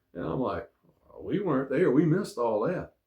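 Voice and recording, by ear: A man's medium-pitched voice at a moderate pace, with big pitch swings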